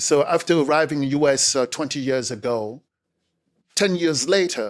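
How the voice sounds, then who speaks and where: A man with a Cameroonian accent and fairly high pitch, speaking at a fairly slow pace on a very clean recording with a silent background. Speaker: speaker and communication coach. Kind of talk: interview conversation. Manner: energetic.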